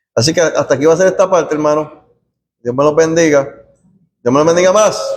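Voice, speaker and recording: With very even loudness and fairly even intonation, a man speaks in a fairly high pitch at a very fast pace. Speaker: Bible study teacher. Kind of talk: bible study class. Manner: soft-spoken.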